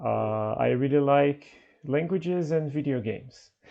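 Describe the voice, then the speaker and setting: This man's pitch is fairly high, with ordinary variation. He speaks at a fairly slow pace. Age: 20s. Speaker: English teacher and host. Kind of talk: online conversation class. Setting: video call.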